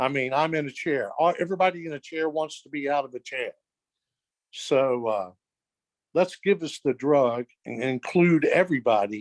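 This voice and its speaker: Recorded dry and close with no echo, a man with a fairly high pitch speaks in an unremarkable speaking voice at a moderate pace, with ordinary pitch variation. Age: 60s. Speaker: wheelchair user and clinical trial participant. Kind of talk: audience comment, personal story.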